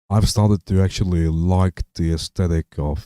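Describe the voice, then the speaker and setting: A man's dark, mellow tone with a non-native accent, fairly slow in pace with ordinary pitch variation, dry and close with no echo, on a very clean recording with a silent background. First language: not English. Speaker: live streamer. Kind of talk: casual live stream chat. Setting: home streaming setup, speakers on. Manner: halting, many fillers and repeats.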